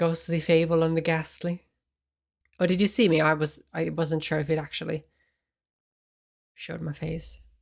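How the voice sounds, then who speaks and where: Soft-spoken words at a moderate pace, with long, frequent pauses, on a very clean recording with a silent background. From Finland. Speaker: ASMR streamer. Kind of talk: casual chat.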